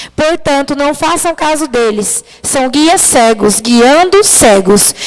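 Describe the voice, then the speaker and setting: Soft-spoken, a woman talks in a high pitch. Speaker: preacher. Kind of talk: sermon. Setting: church livestream.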